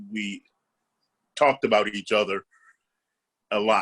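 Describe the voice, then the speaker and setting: The sound is dry and close, without any echo. A man delivers his words at a moderate pace. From Los Angeles area, California (Compton). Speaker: comedian and actor. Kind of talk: interview. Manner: hesitant, many repeats and fillers.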